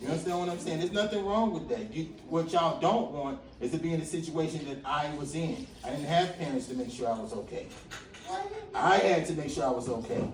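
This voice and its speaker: Over noticeable background noise and audible room echo, a man with an American accent talks at a very fast pace, fairly high in pitch, with lively intonation. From Atlanta, Georgia and Brooklyn, New York. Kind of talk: motivational talk with audience interaction. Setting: school classroom with students. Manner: casual, conversational.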